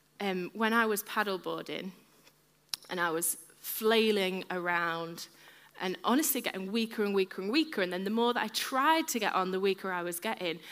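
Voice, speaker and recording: Animated in tone, a woman with an English accent speaks at a moderate pace. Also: medium pitch for a woman, ordinary pitch variation. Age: 30s. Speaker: preacher. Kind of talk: sermon.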